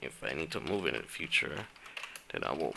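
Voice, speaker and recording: A man speaks at a moderate pace with vocal fry. His tone is bright and sharp. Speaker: programming tutorial youtuber. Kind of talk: casual video outro; coding tutorial. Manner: halting, many restarts.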